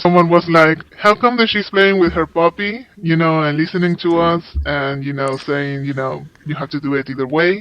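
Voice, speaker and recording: Speaking at a moderate pace, a man with a Spanish accent uses a fairly high pitch. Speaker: overseas interpreter. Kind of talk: interview.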